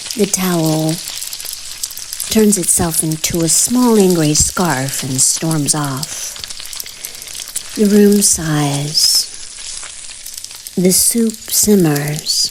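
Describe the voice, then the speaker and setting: The speaker is soft-spoken and goes at a very slow pace with ordinary pitch variation, against noticeable background noise. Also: woman. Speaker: author reading own story. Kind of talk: bedtime story reading.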